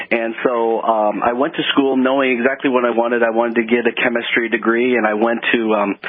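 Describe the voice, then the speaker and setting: Over noticeable background noise, a man with an American accent talks fairly quickly with hardly any pauses, a flat monotone, medium pitch and very even loudness. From Texas, Houston. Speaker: chemist. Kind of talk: radio interview.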